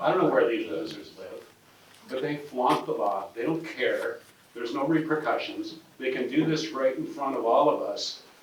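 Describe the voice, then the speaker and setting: Recorded with noticeable background noise and audible room echo, a man with an American accent talks at a moderate pace. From Spokane, Washington, US Pacific Northwest. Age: 60s. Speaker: property owner at a press conference. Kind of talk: press conference speech. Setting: press conference. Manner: animated, informal.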